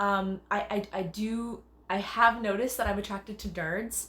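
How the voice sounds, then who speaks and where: Over noticeable background noise, a woman with a Canadian accent talks in an animated, bubbly tone. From Canada. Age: 30s. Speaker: dancer and choreographer. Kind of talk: self-tape audition monologue. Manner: loud and bubbly.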